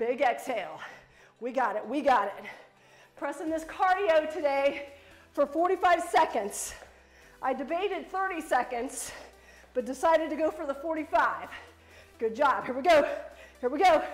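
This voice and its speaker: Her pitch is high, and this woman keeps a moderate pace. She leaves long, frequent pauses. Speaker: fitness instructor. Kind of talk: workout coaching cues. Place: gym. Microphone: camera far.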